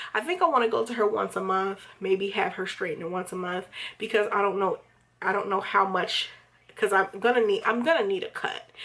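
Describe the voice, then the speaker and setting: Her tone is bright and sharp, at a medium pitch with ordinary pitch variation. The woman talks at a fairly quick pace. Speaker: hair vlogger. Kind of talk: casual vlog review. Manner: rambling, hesitant with fillers.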